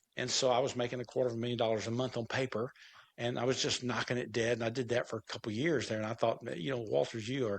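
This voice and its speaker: A man at a very fast pace, medium in pitch, with vocal fry and fairly even intonation. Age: 70s. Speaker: entrepreneur. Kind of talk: interview. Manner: halting.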